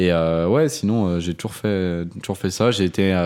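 At a fairly slow pace, a man with a fairly low pitch and an unremarkable speaking voice is heard in a very clean recording with a silent background. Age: 20s. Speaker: video production entrepreneur. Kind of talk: casual chat.

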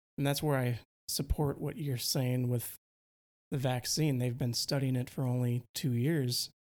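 A man with an American accent speaks at a medium pitch and a fairly slow pace in a monotone, flat intonation, in a very clean recording with a silent background. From Wisconsin, US Midwest.

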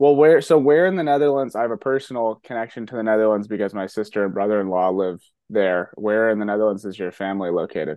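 A man talks at a very fast pace with hardly any pauses. His pitch is fairly low and his intonation lively. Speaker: podcast host. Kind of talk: interview conversation.

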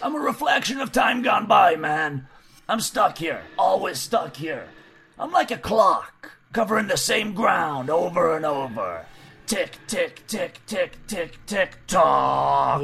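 With faint music in the background, a man does a put-on character voice at a high pitch and a fairly slow pace. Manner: laid-back, cryptic.

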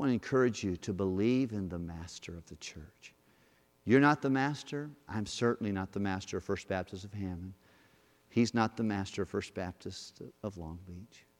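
Big swings in loudness mark a man's unremarkable speaking voice, fairly low in pitch, with ordinary pitch variation and a moderate pace. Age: 50s. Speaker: guest pastor. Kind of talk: sermon. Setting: church.

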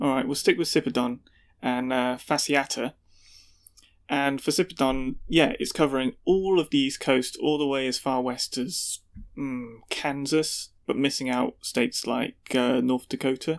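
Using a British accent, a man talks at a fairly slow pace with fairly high pitch and fairly even intonation. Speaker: podcast co-host. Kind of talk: casual chat.

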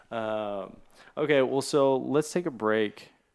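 This man has an unremarkable speaking voice, pitched fairly low, with ordinary pitch variation. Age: 30s. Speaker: podcast host. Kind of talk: casual interview conversation. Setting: home studio in an apartment.

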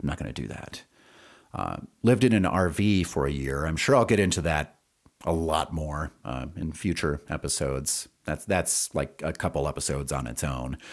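A man with a very deep, low pitch and vocal fry speaks at a moderate pace with lively intonation, in a very clean recording with a silent background. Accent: American. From US Midwest, central Wisconsin. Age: 40s. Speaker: podcast host and singer-songwriter. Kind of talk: casual solo monologue. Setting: home studio. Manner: hesitant, many fillers.

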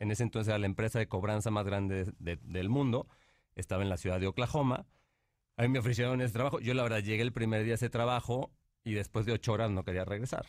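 In a very clean recording with a silent background, a man with a fairly low pitch talks very fast, his intonation fairly even and his loudness very even. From Mexico, Monterrey. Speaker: painter and entrepreneur. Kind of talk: interview.

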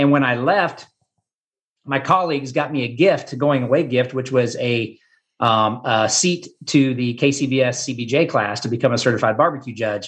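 A man with a Midwestern American accent speaks at a moderate pace, his medium-pitched voice somewhat breathy. His pitch varies in an ordinary way against a quiet background. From Kansas. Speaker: barbecue pitmaster and former teacher. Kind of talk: casual interview.

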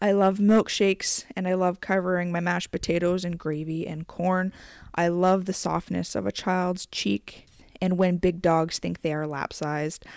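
The recording is very clean with a silent background. The speech is monotone and flat, at a moderate pace. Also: woman, fairly low pitch for a woman. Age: 20s. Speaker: podcast host. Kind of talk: monologue.

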